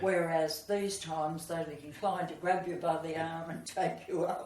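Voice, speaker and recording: A woman's fairly low, monotone voice with flat intonation, at a moderate pace over noticeable background noise. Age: 80s+. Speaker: former ballroom dance instructor. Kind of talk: interview answer.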